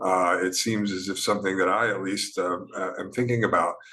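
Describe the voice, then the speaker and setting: This is a man speaking. Room echo is audible. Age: 60s. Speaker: professor. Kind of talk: lecture. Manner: halting.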